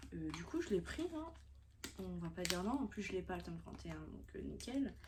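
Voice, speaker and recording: A woman's voice with audible echo from the room and noticeable noise behind it. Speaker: manga YouTuber. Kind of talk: casual vlog haul. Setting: on a bed at home.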